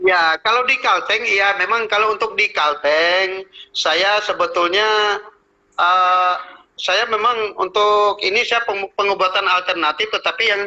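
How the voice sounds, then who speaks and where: A man speaks in a high voice at a fairly slow pace. His loudness stays very even and his intonation fairly even. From Central Kalimantan, Indonesia. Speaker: traditional healer. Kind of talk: interview.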